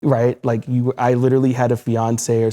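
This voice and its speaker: Recorded very cleanly with a silent background and a dry, close sound with no echo, a man of medium pitch speaks at a moderate pace in a monotone, flat intonation. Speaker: HIV long-term survivor, advocate. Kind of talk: panel discussion.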